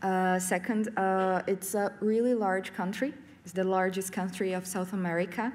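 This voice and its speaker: A woman at medium pitch with fairly even intonation, in audible room echo. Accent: Portuguese. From Brazil, São Paulo state. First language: Portuguese. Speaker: professor and game curator. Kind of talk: conference talk. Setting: stage with audience. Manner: halting, many fillers.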